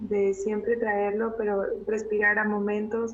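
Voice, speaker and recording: A woman speaks with monotone, flat intonation at a fairly slow pace, her pitch fairly high. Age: 30s. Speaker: visual artist and curator. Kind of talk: testimony.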